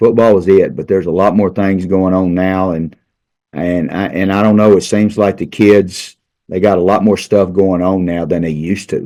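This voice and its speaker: A man with an Arkansas accent, a very deep, low pitch and monotone, flat intonation, at a moderate pace against a quiet background. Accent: Southern US (Arkansas). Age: 60s. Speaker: high school football coach. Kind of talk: casual interview. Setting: studio. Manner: halting, repeats words.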